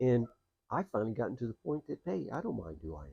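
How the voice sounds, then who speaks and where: Somewhat breathy, dark and mellow male speech, dry and close with no echo. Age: 60s. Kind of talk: casual monologue vlog. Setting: outdoors on a porch. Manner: hesitant, many fillers.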